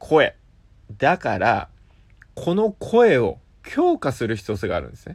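A man talks at a fairly slow pace with long, frequent pauses and big swings in loudness. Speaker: app radio show host. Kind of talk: solo talk monologue.

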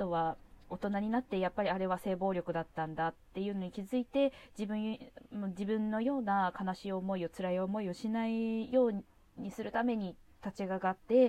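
A woman speaks in a medium pitch with a dark, mellow tone. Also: ordinary pitch variation, moderate pace. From Japan, Kawasaki, Kanagawa. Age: 30s. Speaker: podcast host. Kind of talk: solo monologue podcast. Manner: hesitant, many fillers.

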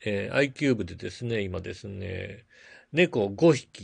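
A man's relaxed tone at a fairly slow pace, against a quiet background. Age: 40s. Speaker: podcast host and blogger. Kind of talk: casual solo talk. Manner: filler-heavy, relaxed.

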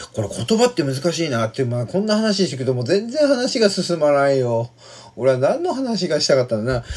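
A man talks at a fairly quick pace. His fairly high voice has very wide pitch swings. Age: 40s. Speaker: podcaster. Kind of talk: casual monologue. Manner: halting, many fillers.

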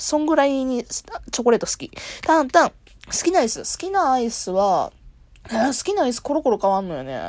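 A high-pitched woman at a fairly quick pace, with very wide pitch swings and big swings in loudness. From Kansai, Japan. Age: 20s. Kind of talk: solo casual talk. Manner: casual, frequent laughter.

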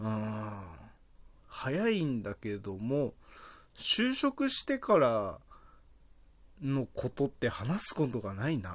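Speaking at a very slow pace with long, frequent pauses, a man uses a medium pitch that swings very widely, and his loudness rises and falls in big swings. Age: 20s. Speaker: podcaster and tire-change worker. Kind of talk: casual solo monologue. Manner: halting, many fillers.

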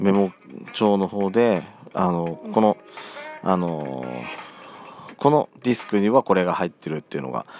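Through noticeable background noise, a man with a very deep, low voice speaks with lively intonation and long, frequent pauses, the sound dry and close with no echo. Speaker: podcast host. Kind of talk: casual solo talk. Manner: fast at the end.

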